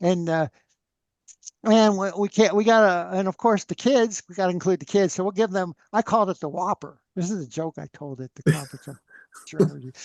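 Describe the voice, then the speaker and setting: A loud, high-pitched male voice at a fairly quick pace, with ordinary pitch variation, a dry, close sound with no echo and a quiet background. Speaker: free energy researcher. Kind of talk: interview conversation. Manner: animated.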